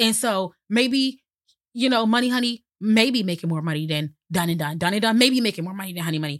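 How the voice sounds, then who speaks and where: A plain, everyday voice speaks at a fairly quick pace with lively intonation. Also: woman, medium pitch for a woman. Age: 30s. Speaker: entrepreneur. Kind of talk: casual chat. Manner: laughs often.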